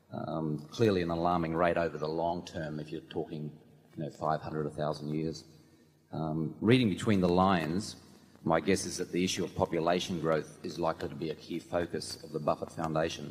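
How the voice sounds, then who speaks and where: Speaking fairly quickly with an Australian accent, a man has a very deep, low-pitched voice. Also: fairly even intonation. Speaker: shareholder asking a question. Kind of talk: question from audience. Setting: audience microphone in arena.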